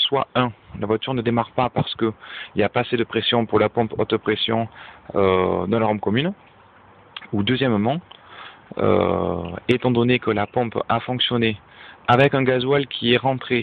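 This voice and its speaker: Using a Toulouse accent, a man speaks at a moderate pace and medium pitch, with ordinary pitch variation, very even loudness, and long, frequent pauses. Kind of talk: casual DIY car diagnosis talk to camera.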